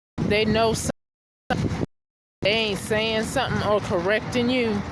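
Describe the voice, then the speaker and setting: A woman speaks at a very slow pace with fairly even intonation. Audible room echo can be heard. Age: 50s. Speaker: vlogger. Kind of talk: personal rant vlog. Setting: outdoors. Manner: halting, many fillers.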